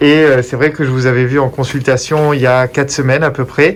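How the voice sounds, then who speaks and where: A man talks at a moderate pace and medium pitch with fairly even intonation in an unremarkable speaking voice. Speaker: oncologist. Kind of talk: interview questions.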